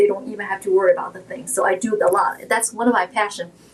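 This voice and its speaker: Over noticeable background noise, a woman with a fairly high voice talks very fast in a flat monotone. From China, Shanghai. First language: Shanghainese / Mandarin Chinese. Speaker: realtor. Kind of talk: interview.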